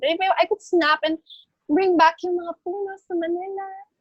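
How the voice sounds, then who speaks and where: Heard in a dry, close sound with no echo, a woman speaks at an extremely high pitch. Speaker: beauty pageant winner. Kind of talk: interview. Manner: soft-spoken; code-switching English and Tagalog.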